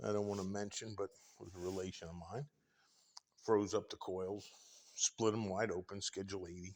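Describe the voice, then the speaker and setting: A man with a fairly low pitch speaks at a moderate pace with fairly even intonation. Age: 60s. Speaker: tradesman showing his workshop. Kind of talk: casual walkthrough tour. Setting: indoors in workshop. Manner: relaxed, with many fillers.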